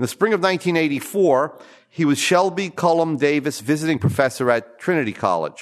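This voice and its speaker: A plain, everyday voice from a man, fairly high in pitch, at a fairly quick pace. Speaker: conference host introducing speaker. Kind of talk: formal introduction. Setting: stage with audience.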